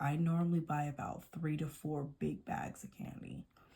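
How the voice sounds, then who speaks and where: Somewhat breathy and dark, mellow in tone, a woman speaks with a very deep, low pitch. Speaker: nail polish vlogger. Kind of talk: casual chat. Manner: halting.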